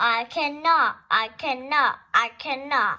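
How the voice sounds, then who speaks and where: At a fairly slow pace, the speaker uses a put-on character voice. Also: woman, high pitch for a woman. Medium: read story. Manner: tired, sighing.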